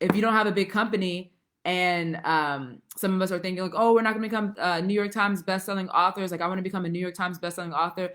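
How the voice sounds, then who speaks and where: Speaking very fast at a medium pitch, a woman with a bright, sharp tone uses ordinary pitch variation on a very clean recording with a silent background. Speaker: writing coach. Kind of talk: live stream talk. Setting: facebook live stream. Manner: animated.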